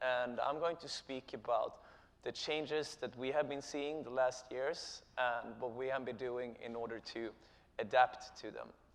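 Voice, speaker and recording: With a Swedish accent, a man speaks at a medium pitch and a fairly slow pace. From Sweden. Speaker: company co-founder and chief executive. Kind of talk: conference presentation. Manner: halting, many filler sounds.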